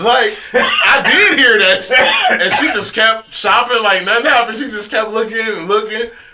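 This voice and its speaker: Over noticeable background noise, a man with an American accent speaks in a raised, projected voice at an extremely high pitch, with ordinary pitch variation and a moderate pace. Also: hardly any pauses. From California, Fresno. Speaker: radio host. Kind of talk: casual chat. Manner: animated.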